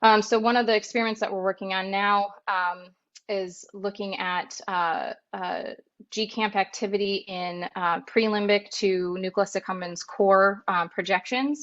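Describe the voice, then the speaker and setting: A woman's plain, everyday voice, medium in pitch, at a fairly slow pace with fairly even intonation. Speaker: neuroscience researcher. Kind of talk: lecture. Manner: many filler words.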